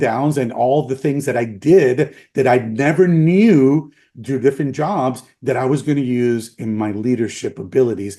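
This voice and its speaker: A man with a Spanish accent has a dark, mellow tone, a medium pitch and lively intonation. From Puerto Rico. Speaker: former chiropractic college president. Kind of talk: interview.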